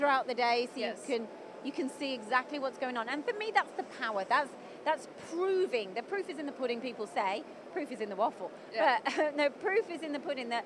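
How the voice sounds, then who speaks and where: A woman with a high pitch talks at a fairly quick pace. The sound is dry with no echo, and there is noticeable background noise. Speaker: trade show host interviewer. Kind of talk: interview questions and commentary. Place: hall. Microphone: handheld.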